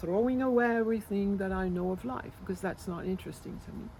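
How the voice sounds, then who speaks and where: Speaking with a French accent, a woman has a medium pitch and ordinary pitch variation. Her pace is fairly quick. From France. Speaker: spiritual healer. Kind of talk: interview. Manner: halting.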